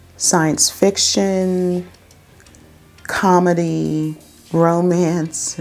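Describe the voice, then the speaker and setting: Over music in the background, a woman speaks with a fairly low voice. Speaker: anime reviewer. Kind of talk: casual talk to camera.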